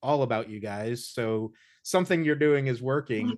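An ordinary speaking voice from a man with an American accent, medium pitch, ordinary pitch variation and a moderate pace, over a quiet background. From Indiana. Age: 30s. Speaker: podcast host. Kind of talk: casual interview. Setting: video call.

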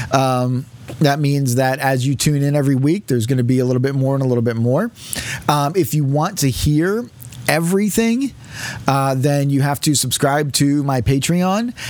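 A man speaks with a fairly high pitch. Noticeable background noise runs under the recording. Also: ordinary pitch variation, moderate pace, very even loudness. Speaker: podcaster and pastor. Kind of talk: casual interview chat. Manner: jokey, chatty.

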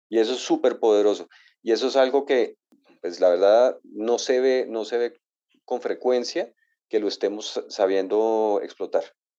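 Against a quiet background, the talking proceeds at a fairly slow pace. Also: man. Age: 50s. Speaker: author and real estate entrepreneur. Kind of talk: interview. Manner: halting.

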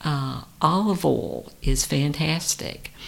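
Here a woman's pitch swings very widely. Her voice carries vocal fry. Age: 50s. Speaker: licensed therapist. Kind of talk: interview. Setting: studio.

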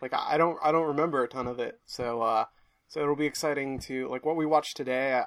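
Talking at a fairly quick pace with fairly even intonation, a man has a normal speaking voice in a very clean recording with a silent background. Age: 20s. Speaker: podcast co-host. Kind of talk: casual chat.

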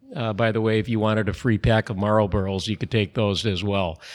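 Over a very clean recording with a silent background, a man with an Upper Midwest accent talks in a fairly low pitch. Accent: Upper Midwest American. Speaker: brewery president. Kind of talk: interview. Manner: relaxed, frequent fillers (uh).

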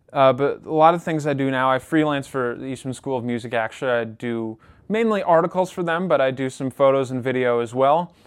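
With a Western New York accent, a man speaks at a medium pitch and a fairly quick pace. He uses ordinary pitch variation and hardly pauses at all. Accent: Western New York (Inland North) American. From Rochester, New York. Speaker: podcast host and radio presenter. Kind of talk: casual interview chat.

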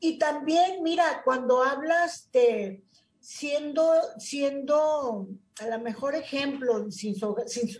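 A high-pitched woman's voice, very slow in pace, with lively intonation. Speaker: nonprofit director. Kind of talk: interview.

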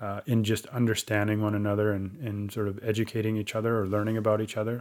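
On a very clean recording with a silent background, a man talks in a Western Canadian accent. His pitch is fairly low and his pace fairly quick. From Chilliwack, British Columbia, Canada. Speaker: First Nations chief. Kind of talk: casual interview.

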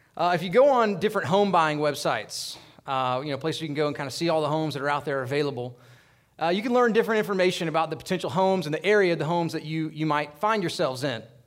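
A man speaks very fast, his intonation lively. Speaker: pastor. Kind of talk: fervent congregational prayer, earnest and pleading, addressing God directly. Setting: church.

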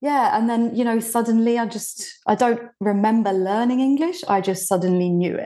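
This woman has a fairly high pitch and a dark, mellow tone, with ordinary pitch variation. She talks at a moderate pace with hardly any pauses against a quiet background. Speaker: marketing consultant. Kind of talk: interview.

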